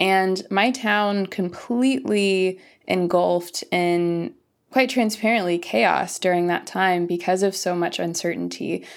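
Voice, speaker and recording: Very even loudness from a woman at a medium pitch, fairly slow, with ordinary pitch variation, on a very clean recording with a silent background. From US Midwest, Missouri. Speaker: environmental activist, author. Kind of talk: interview.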